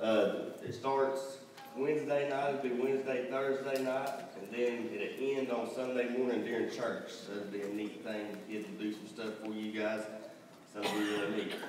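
A man speaks at a moderate pace with fairly even intonation. Noticeable background noise and audible room echo surround his voice. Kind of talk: announcements. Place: church.

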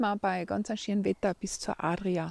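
A woman talks at a very slow pace with a dark, mellow tone. The sound is dry with no echo. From East Tyrol, Austria. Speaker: walker narrating in dialect. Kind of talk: casual talk to camera on a walk. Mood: warm, encouraging. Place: open country. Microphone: phone near.

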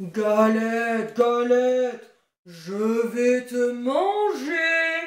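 In a put-on character voice with a fairly high pitch, the speaker moves at a very slow pace, with a slight echo. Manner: growling.

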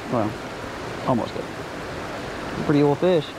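A man at a fairly slow pace, fairly high in pitch, with lively intonation and clear background noise

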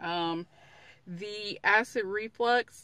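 A woman with a bright, sharp tone and ordinary pitch variation is heard in a dry sound with no echo. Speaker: vlogger. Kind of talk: casual vlog chat. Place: car. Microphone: phone near.

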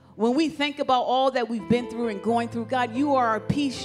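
A female voice is heard. Music plays clearly behind her. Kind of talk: prayer. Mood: fervent, reverent. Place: church. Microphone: handheld.

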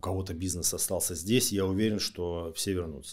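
Over a very clean, silent background, a man with an ordinary speaking voice talks fairly quickly at a fairly low pitch with ordinary pitch variation. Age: 40s. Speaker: lawyer. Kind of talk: interview.

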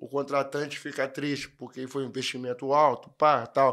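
A plain, everyday voice moves at a moderate pace against a quiet background. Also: man. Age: 20s. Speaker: amateur percussionist and steelworker; podcast guest. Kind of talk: casual chat. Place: studio. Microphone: studio mic.

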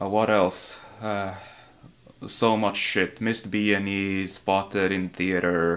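A man with a fairly low pitch speaks in a monotone, flat way at a very slow pace. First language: not English. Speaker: video game speedrunner streamer. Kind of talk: live gameplay commentary. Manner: casual, profane. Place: home room.

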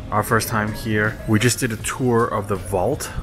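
Clear music plays in the background as the voice moves at a moderate pace with monotone, flat intonation. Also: man. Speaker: car vlogger. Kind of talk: casual vlog chat. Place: hall. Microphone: phone near.

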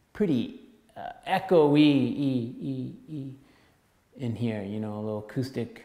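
A man's speech carries audible room echo, and his pitch varies in an ordinary way. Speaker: music course instructor. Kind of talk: lecture. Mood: relaxed, casual. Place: empty room. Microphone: camera far.

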